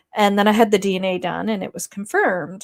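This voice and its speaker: A woman's medium-pitched voice with a strong East Coast Canadian accent, in a very clean recording with a silent background. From Nova Scotia, Canada. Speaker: YouTube true-crime commentator. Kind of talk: livestream commentary reading chat. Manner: hesitant, many fillers.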